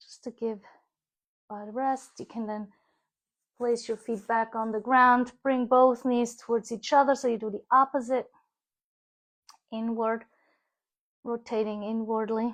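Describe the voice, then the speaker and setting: Calm in tone, a woman with a fairly high pitch speaks at a fairly slow pace in a monotone, flat intonation, with long, frequent pauses and big swings in loudness. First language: German. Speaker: yoga teacher. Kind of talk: guided yoga class. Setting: live stream.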